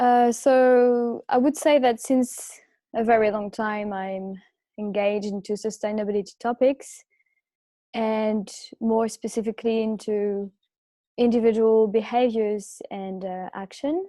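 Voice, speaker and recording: The pace is fairly slow. The tone is dark and mellow. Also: woman, fairly high pitch for a woman, fairly even intonation. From France. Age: 20s. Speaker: student guest speaker. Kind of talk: personal talk on video call.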